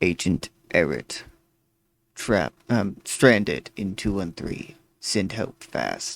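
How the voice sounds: Speaking very slowly with long, frequent pauses, a man puts on a robotic character voice. His pitch is fairly low and his intonation lively.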